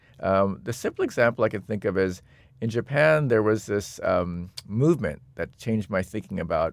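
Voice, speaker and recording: In an ordinary speaking voice, a man talks at a moderate pace with lively intonation and a fairly low pitch, on a very clean recording with a silent background. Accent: American. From US, Seattle. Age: 50s. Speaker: designer and technologist. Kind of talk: interview conversation.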